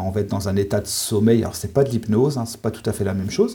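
A man speaks at a fairly low pitch with a dark, mellow tone. His voice is somewhat breathy, with ordinary pitch variation. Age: 40s. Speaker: sophrologist and forest therapist. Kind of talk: interview.

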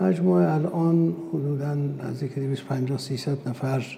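A man speaks at a medium pitch with very wide swings in pitch. Noticeable background noise sits behind him. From Iran, Urmia (West Azerbaijan). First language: Azerbaijani (speaking Persian). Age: 60s. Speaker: company executive, food manufacturer. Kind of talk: interview. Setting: science park. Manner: formal.

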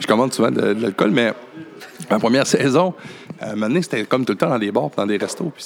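Against noticeable background noise, a man talks at a fairly quick pace, broken by long, frequent pauses. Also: medium pitch for a man, lively intonation. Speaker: podcast host. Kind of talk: casual chat. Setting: cabaret bar.

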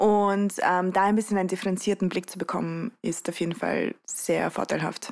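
The speech comes in a Russian accent at a moderate pace. Intonation stays fairly even. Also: woman. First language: Russian (speaking German). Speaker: youth activist. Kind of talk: interview. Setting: home studio on a sofa.

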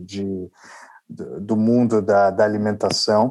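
Speaking with an unremarkable speaking voice, a man keeps a fairly low pitch and fairly even intonation. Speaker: restaurant entrepreneur. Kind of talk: interview.

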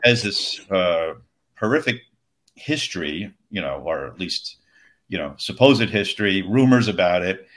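Delivered at a moderate pace with an American accent, a normal speaking voice shows lively intonation and big swings in loudness on a very clean recording with a silent background. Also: man, fairly low pitch for a man. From Long Island, New York. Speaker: game designer. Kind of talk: casual interview.

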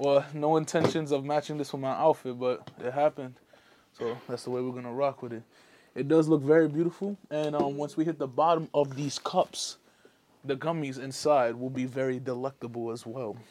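A man's fairly high-pitched voice with an American accent, dark, mellow tone, fairly even intonation and moderate pace. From New York. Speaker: rapper. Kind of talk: casual chat.

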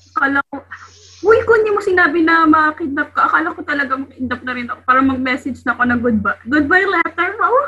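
A woman speaks very fast in a raised, projected voice at a high pitch, with very wide pitch swings and big shifts in loudness. Noticeable background noise runs behind her. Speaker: podcast co-host, medical student. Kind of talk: casual chat.

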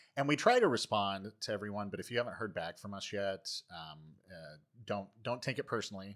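A man with a plain, everyday voice speaks at a fairly quick pace in a fairly low pitch, with ordinary pitch variation and big swings in loudness. The recording is very clean, with a silent background. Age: 40s. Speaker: mental health podcast co-host. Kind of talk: casual chat.

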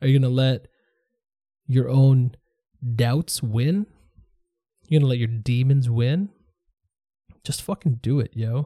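Somewhat breathy and dark, mellow in tone, a man speaks at a fairly slow pace with long, frequent pauses and ordinary pitch variation, in a dry, close sound with no echo. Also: medium pitch for a man. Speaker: podcast host. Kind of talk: solo monologue podcast. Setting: home studio. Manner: casual, halting.

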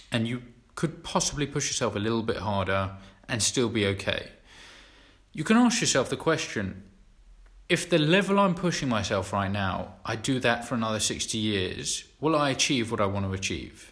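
With lively intonation and a moderate pace, a man speaks at a medium pitch in an ordinary speaking voice. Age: 20s. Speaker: podcast co-host. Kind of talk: casual chat.

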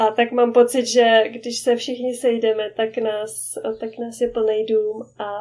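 A woman speaks at a fairly slow pace in a dark, mellow tone. Her fairly high pitch stays flat and monotone. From Czech Republic. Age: 30s. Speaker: expat mother. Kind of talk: casual interview.

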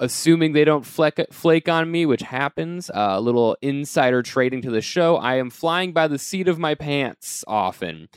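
A man's ordinary speaking voice, fairly high in pitch with ordinary pitch variation, in an American accent at a moderate pace with hardly any pauses, on a very clean recording with a silent background. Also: dry, close sound with no echo. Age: 20s. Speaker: podcast host, comedian. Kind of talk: show intro monologue; casual chat.

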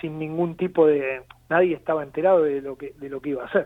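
A man with a fairly high pitch and fairly even intonation. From Argentina, Avellaneda (Buenos Aires). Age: 40s. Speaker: football club political candidate. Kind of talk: interview. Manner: halting.

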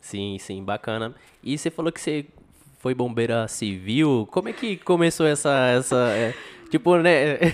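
At a fairly slow pace, a man with a normal speaking voice at medium pitch uses lively intonation. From São José do Rio Preto, Brazil. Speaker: podcast host. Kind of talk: casual chat.

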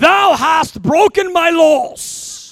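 With an extremely high pitch, the speaker performs a put-on character voice.

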